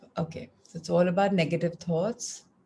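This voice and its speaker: A woman's somewhat breathy voice moves at a moderate pace with fairly even intonation. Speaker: wellness group session leader. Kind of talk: group wellness coaching session.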